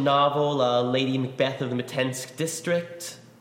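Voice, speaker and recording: Audible room echo and noticeable background noise surround the speaker. He is a man with an American accent and fairly even intonation. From New York. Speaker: lyricist. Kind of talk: casual interview.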